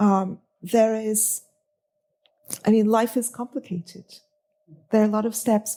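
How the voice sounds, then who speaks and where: Her voice is dark and mellow, somewhat breathy, fairly high in pitch for a woman, with a monotone, flat intonation. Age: 50s. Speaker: writer and editor. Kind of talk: interview. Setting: studio. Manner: hesitant.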